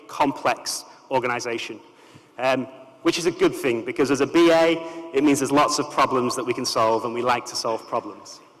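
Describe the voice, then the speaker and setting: Noticeable background noise surrounds a man who talks fairly quickly. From northern England. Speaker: business analysis manager at a bank, conference speaker. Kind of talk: conference keynote.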